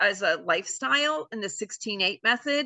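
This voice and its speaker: The speaker is a woman with a fairly high pitch. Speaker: chiropractor giving health talk. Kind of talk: online presentation with Q&A. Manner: fast.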